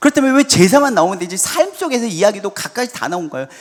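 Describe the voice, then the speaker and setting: A man is speaking. His pace is fairly quick. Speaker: pastor. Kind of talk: sermon. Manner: fast.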